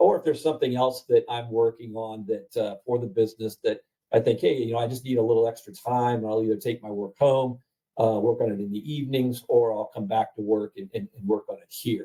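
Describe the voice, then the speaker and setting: A man with an American accent speaks at a fairly quick pace in a medium-pitched, dark, mellow voice that is somewhat breathy. His intonation stays fairly even, though his loudness swings widely. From Ohio, US Midwest. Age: 60s. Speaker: print franchise owner. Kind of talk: interview on a webinar call. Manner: halting, many fillers.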